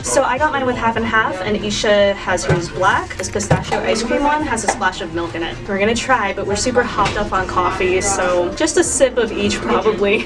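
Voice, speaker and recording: Over loud music in the background, a woman speaks with hardly any pauses. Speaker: vlogger. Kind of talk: casual vlog chat. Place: street. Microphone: camera far.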